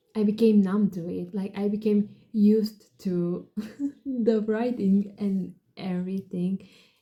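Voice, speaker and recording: A woman with a non-native accent speaks slowly-ish at a medium pitch, her voice somewhat breathy, her tone dark and mellow, and her intonation monotone and flat. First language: not English. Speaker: book vlogger. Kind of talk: casual book review. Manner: casual, filler-heavy.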